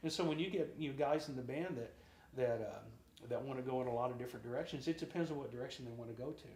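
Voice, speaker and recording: The voice is somewhat breathy and very fast. Audible echo fills the room. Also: man, medium pitch for a man, ordinary pitch variation. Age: 60s. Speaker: drummer and singer. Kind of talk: interview.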